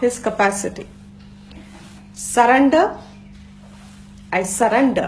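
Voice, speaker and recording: In a Gujarati accent, a woman speaks at a very slow pace, with audible room echo around her voice. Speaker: Vedanta teacher. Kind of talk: lecture.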